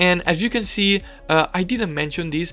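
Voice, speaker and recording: With music in the background, a man speaks at a fairly slow pace. He has a strong non-native accent and ordinary pitch variation. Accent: thick non-native. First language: not English. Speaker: video game commentator. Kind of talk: game commentary. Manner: hesitant, many fillers; trying to speak slower and clearer.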